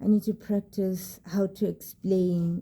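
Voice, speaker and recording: Speaking at a very slow pace, a woman uses a somewhat breathy voice of medium pitch. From South Africa, rural area. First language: South African language other than English. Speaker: vlogger. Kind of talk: casual vlog talk to camera. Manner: hesitant, many fillers and repeats.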